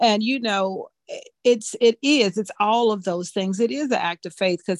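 A woman with an unremarkable speaking voice talks at a medium pitch and a moderate pace, with ordinary pitch variation and a dry, close sound with no echo. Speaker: ministry member leading prayer. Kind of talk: prayer and testimony.

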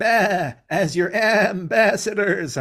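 A man puts on a high-pitched character voice.

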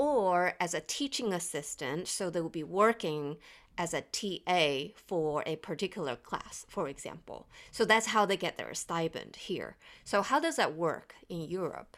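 This woman has an ordinary speaking voice, pitched fairly low. She talks at a fairly slow pace with lively intonation. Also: very clean recording, silent background. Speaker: engineering professor and podcast co-host. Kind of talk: casual panel discussion.

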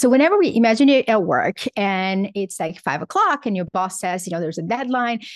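Lively in intonation, a woman talks fairly quickly with a Portuguese accent and a fairly high pitch, the sound dry and close with no echo against a quiet background. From Brazil. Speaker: psychologist and author. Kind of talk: interview.

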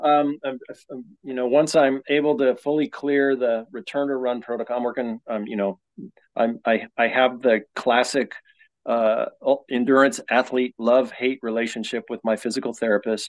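An ordinary speaking voice, this man's has a medium pitch, an American accent, fairly even intonation and a moderate pace. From Colorado. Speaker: ultra runner. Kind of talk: casual chat.

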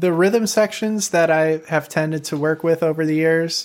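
A man speaks with a Chicago accent. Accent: Chicago American English. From US Midwest, Chicago. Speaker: woodwind player and composer, YouTuber. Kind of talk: casual interview. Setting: video call.

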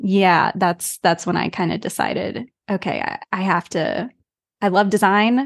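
An ordinary speaking voice from a woman with an American accent, at medium pitch and a fairly slow pace, with fairly even intonation, a dry, close sound with no echo and a quiet background. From United States. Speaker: branding and web design studio founder. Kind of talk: interview.

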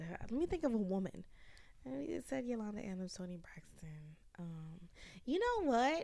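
An ordinary speaking voice in an American accent, with lively intonation and a fairly slow pace. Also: woman. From US South, Georgia. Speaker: podcast guest, journalist. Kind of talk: casual chat.

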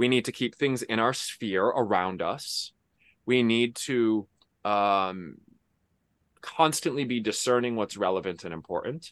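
Over a quiet background, a man with a plain, everyday voice speaks at medium pitch and a fairly slow pace, with ordinary pitch variation. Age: 30s. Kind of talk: interview.

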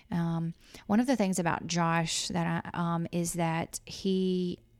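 Spoken with a Southern US accent, the clip is very clean, with a silent background. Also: woman. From Louisiana. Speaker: insurance agent. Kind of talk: casual chat. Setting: office.

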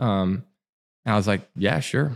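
A man with a Southern US accent has a fairly low pitch. The recording is very clean and the background is silent. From Alabama. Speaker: coffee shop owner. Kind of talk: casual interview. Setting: back room of a cafe.

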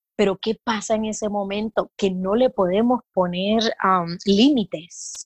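Against a quiet background, a woman speaks in a somewhat breathy voice at a medium pitch, at a fairly slow pace with ordinary pitch variation, in a dry, close sound with no echo. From Puerto Rico. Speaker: midwife. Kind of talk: casual interview.

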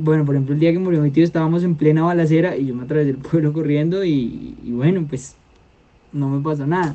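This man's voice sits at a fairly high pitch, with fairly even intonation. He moves at a moderate pace, broken by long, frequent pauses. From Colombia, Meta (Llanos Orientales). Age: 20s. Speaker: peace activist. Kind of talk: interview testimony.

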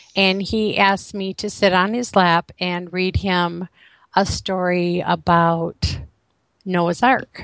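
A woman with an American accent speaks very slowly at a medium pitch in a monotone, flat intonation. The sound is dry and close with no echo over a quiet background. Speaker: author. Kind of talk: interview testimony.

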